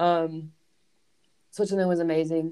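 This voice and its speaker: Speaking with an American accent, the woman's voice sits fairly low in pitch. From US South. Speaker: professional soccer player. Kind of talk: casual interview.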